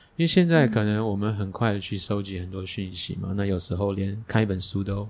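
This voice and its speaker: Here is a man with an unremarkable speaking voice and a fairly low pitch. He talks at a fairly quick pace with fairly even intonation. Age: middle-aged. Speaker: podcast host. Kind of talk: casual chat. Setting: teahouse.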